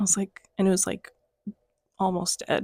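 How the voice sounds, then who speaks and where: The voice is somewhat breathy. It is captured in a very clean recording with a silent background. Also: woman. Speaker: plant vlogger. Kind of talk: casual chat. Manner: hesitant, many fillers.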